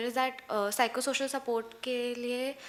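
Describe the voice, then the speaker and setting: A woman speaks in a high pitch with an Indian accent. Her intonation is flat and monotone. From India, Madhya Pradesh (Bhopal). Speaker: college student. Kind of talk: audience contribution at workshop.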